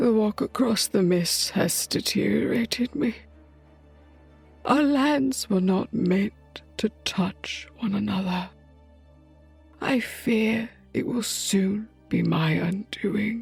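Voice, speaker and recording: A female-sounding voice in a put-on character voice speaks very slowly at a medium pitch, with long, frequent pauses and faint music in the background. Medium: audio drama. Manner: solemn, formal.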